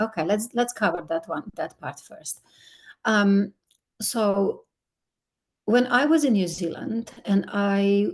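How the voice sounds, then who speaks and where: Speaking very slowly with long, frequent pauses, a woman with a Slovenian accent uses a medium pitch, lively intonation and a somewhat breathy voice. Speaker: skincare ingredient company executive. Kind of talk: podcast interview.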